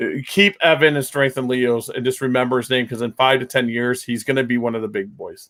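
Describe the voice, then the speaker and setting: A man speaks at a fairly quick pace with hardly any pauses, his medium pitch showing ordinary variation. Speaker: reptile breeder channel host. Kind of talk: casual chat. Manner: loud.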